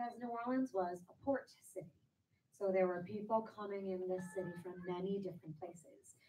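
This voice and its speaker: Somewhat breathy, a woman with an American accent speaks with a dark, mellow tone and ordinary pitch variation. She moves at a fairly quick pace, her loudness swinging widely. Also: medium pitch for a woman. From US Northeast, New York. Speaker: jazz singer. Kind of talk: lecture.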